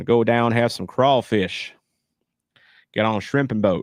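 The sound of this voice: Putting on a character voice, a man drawls at a moderate pace and medium pitch with fairly even intonation. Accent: Louisiana.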